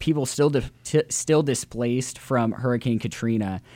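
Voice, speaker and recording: With a Midwestern American accent, a man talks at a fairly quick pace. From US Midwest, Central Illinois. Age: young. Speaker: college student and charity organizer. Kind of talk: interview.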